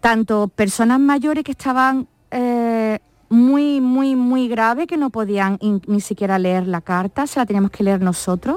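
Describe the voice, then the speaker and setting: A woman with an unremarkable speaking voice talks at a fairly high pitch with ordinary pitch variation. Her pace is fairly slow. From Málaga, Andalusia. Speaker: nurse. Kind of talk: interview. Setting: studio.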